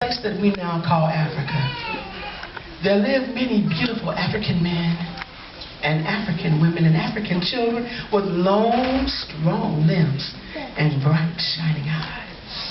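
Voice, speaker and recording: Against noticeable background noise, the speaker goes at a fairly slow pace with lively intonation and long, frequent pauses. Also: woman, fairly low pitch for a woman. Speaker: storyteller; pastor. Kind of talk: live storytelling performance. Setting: live event, museum audience.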